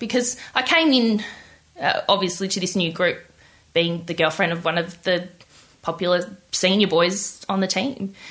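In an Australian accent, a woman speaks at a medium pitch and a moderate pace, with long, frequent pauses. Her tone is bright and sharp, and her pitch varies in an ordinary way. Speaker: interviewee telling love story. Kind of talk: interview.

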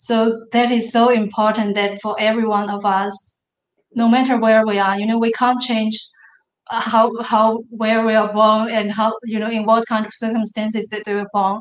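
In a Chinese accent, a woman speaks at a moderate pace with monotone, flat intonation. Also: fairly high pitch for a woman. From northern China. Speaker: business consultant and manufacturer. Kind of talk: interview.

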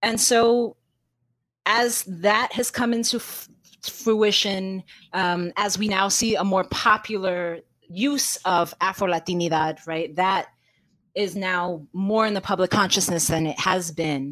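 This woman talks at a fairly slow pace. She speaks with a New York accent. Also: medium pitch for a woman, ordinary pitch variation. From New York City. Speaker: literature professor and author. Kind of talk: interview.

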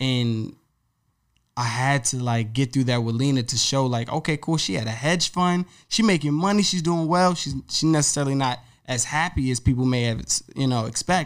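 On a very clean recording with a silent background, a man speaks at a moderate pace in an American accent. His medium pitch has ordinary variation, and he has an ordinary speaking voice. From Virginia, Woodbridge. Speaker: author and recording engineer. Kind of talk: interview.

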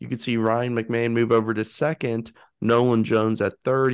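In a plain, everyday voice, a man speaks at a moderate pace and a medium pitch over a quiet background. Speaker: co-host. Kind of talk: casual chat.

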